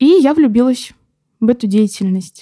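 A woman with a high pitch and a dark, mellow tone speaks at a moderate pace with very wide pitch swings. The recording is very clean, with a silent background and a dry, close sound with no echo. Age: 20s. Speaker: paramedic student. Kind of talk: casual chat.

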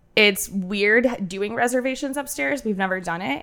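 A woman's nasal voice at medium pitch, fairly bright in tone, at a moderate pace with ordinary pitch variation.

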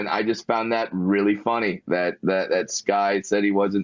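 Using an American accent, a man talks at a moderate pace with a fairly low pitch and ordinary pitch variation. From Southern California (Fullerton). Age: 30s. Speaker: stand-up comedian. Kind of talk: interview.

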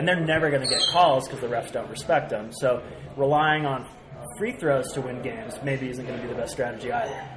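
A man speaks at a very fast pace with ordinary pitch variation. Noticeable background noise is present. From San Francisco Bay Area. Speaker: podcast host and sports commentator. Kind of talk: casual roundtable chat. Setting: recording live at a sports bar.

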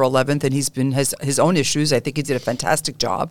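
With a New York accent, a woman talks very fast in a very deep, low pitch. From New York City, Brooklyn (Canarsie). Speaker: interview show host, real estate executive. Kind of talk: interview.

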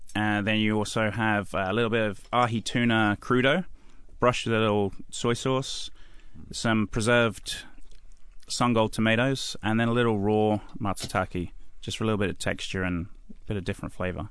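Against a quiet background, a man with an East Anglian accent talks at a moderate pace and medium pitch, with fairly even intonation. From England (Suffolk). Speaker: chef. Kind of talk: radio interview. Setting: radio studio.

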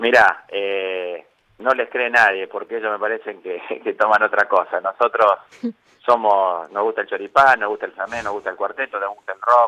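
Moderately paced speech from a man, dry and close-miked, free of echo. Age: 50s. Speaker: politician, mayor-elect and physician. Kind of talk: radio interview.

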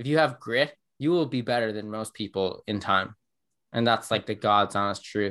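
In a very clean recording with a silent background, a man with an Irish accent speaks in a bright, sharp tone with ordinary pitch variation. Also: medium pitch for a man, moderate pace. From Ireland. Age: 20s. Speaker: growth marketer. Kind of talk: casual interview.

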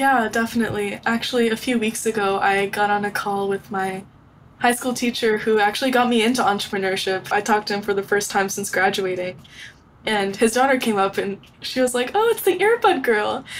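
A woman talks at a fairly quick pace in a plain, everyday voice with fairly even intonation. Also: fairly high pitch for a woman. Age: 20s. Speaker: young inventor and entrepreneur. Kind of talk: interview.

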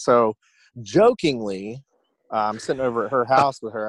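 A man talks at a fairly quick pace. The recording is very clean and silent behind him, with a dry, close sound and no echo. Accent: Southern US. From US South, Georgia (Newnan, south of Atlanta). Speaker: basketball coach. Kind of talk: casual chat.

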